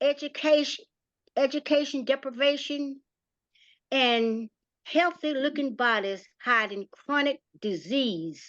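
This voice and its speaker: A woman with a North Carolina accent speaks very slowly in a high voice with lively intonation and long, frequent pauses, in a dry, close recording with no echo and a quiet background. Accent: Southern US (North Carolina). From US South, rural North Carolina. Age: 70s. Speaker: community playwright and former nonprofit director. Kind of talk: prepared testimony talk.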